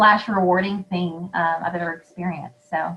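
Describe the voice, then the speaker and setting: Here a woman speaks in a Southern US accent at a medium pitch. Her voice is somewhat breathy and her pace moderate. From US South. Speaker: podcast host. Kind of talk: casual interview chat.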